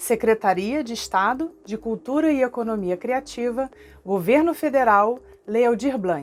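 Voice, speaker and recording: A woman speaks with a Rio de Janeiro accent. Her pitch is fairly high and her intonation lively. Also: fairly slow pace. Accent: Carioca Brazilian Portuguese. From Rio de Janeiro (Tijuca, North Zone). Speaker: cultural project manager. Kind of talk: online workshop lesson to camera.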